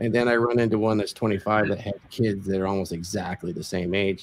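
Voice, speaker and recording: In a plain, everyday voice, a man speaks at a fairly quick pace with a fairly low pitch, fairly even intonation and hardly any pauses. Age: 60s. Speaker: video podcast host and lifestyle coach. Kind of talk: casual interview.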